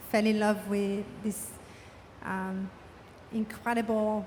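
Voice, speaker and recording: Very slowly, a woman of medium pitch speaks with fairly even intonation amid noticeable background noise. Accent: French. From France. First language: French. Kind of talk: panel discussion.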